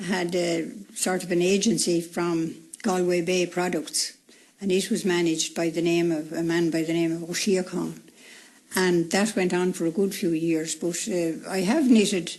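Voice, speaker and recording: A woman with a Wexford accent, fairly low in pitch, at a moderate pace and with fairly even intonation. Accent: rural Irish (Wexford). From Ireland, County Wexford. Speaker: retired woman interviewed about her life. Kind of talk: radio interview.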